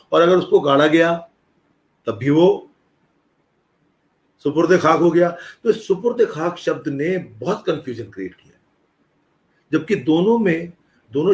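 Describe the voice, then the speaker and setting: With lively intonation and a high pitch, a man talks with long, frequent pauses and big swings in loudness. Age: 60s. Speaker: retired professor and music scholar. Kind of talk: interview conversation. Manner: explanatory, conversational.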